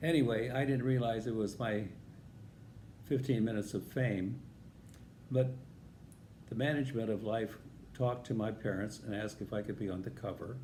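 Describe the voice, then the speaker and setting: In an American accent, a man with a medium pitch, dark, mellow tone and somewhat breathy voice speaks at a moderate pace with fairly even intonation and long, frequent pauses, amid audible room echo. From US Midwest, northern Illinois. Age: 80s+. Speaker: vlogger telling life stories. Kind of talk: personal storytelling.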